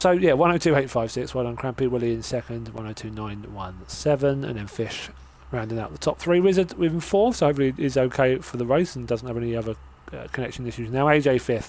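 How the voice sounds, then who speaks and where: This man has a medium pitch and lively intonation. He talks at a very fast pace. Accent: British. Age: 30s. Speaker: sim racing commentator. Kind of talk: live commentary. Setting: live stream.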